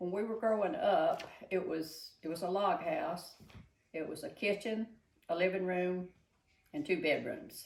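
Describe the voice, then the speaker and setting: Long, frequent pauses break up a woman's fairly slow speech in a Southern US accent. Her medium pitch carries lively intonation. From Georgia, USA. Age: 80s+. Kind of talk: interview answer.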